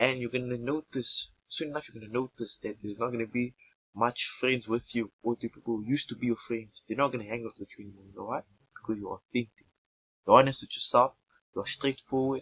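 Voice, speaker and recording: A man rattles along at a very fast pace with fairly even intonation and big swings in loudness. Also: medium pitch for a man. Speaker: vlogger. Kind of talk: casual monologue to camera. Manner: stuttering, halting.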